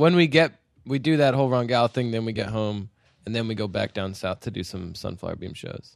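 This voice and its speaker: A man with a plain, everyday voice, an American accent, medium pitch, lively intonation and a fairly quick pace. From Utah. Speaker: rock musician. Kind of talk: casual interview chat. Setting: in person.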